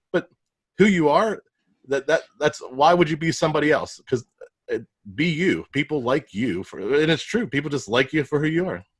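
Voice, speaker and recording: Speaking with a Pittsburgh accent, a man has a fairly high pitch, vocal fry and lively intonation at a moderate pace. The sound is dry and close with no echo. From Pittsburgh, US. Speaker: podcast host and digital marketer. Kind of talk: podcast interview.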